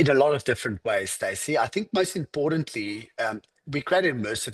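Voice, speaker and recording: A man with an American accent talks at a very fast pace, the sound dry and close with no echo. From South Africa, Cape Town. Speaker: fitness franchise executive. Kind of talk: podcast interview.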